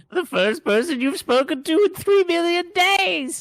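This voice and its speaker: A put-on character voice at an extremely high pitch and a moderate pace. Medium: game stream. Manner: casual, teasing, smug.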